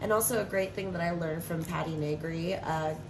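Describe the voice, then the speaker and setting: Amid noticeable background noise and audible room echo, a woman with a fairly low pitch speaks at a moderate pace. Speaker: tarot reader. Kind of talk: tarot reading. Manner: casual, rambling with fillers.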